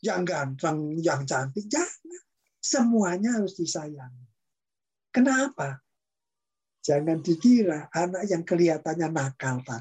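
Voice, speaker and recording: Pauses come often and last long. Overall, the delivery is fairly slow. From East Java, Indonesia. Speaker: professor and podcast host. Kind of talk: casual interview chat. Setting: video call. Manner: animated, talkative, laughs often.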